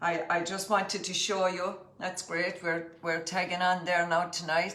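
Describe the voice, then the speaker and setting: Amid noticeable background noise and audible room echo, a woman with a County Clare accent speaks fairly slowly at a fairly low pitch, her intonation monotone and flat. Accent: County Clare Irish. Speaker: cookery teacher. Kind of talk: cooking demonstration livestream.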